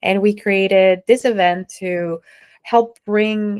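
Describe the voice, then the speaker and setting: Fairly slow speech from a woman with a Spanish accent. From Mexico. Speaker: entrepreneur and nonprofit founder. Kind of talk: interview.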